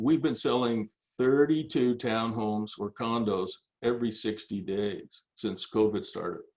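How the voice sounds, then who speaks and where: This man's pitch sits in the middle of his range. He talks at a fairly unhurried rate. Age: 60s. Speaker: business coach. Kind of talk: casual chat. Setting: video call. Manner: halting, repeated words.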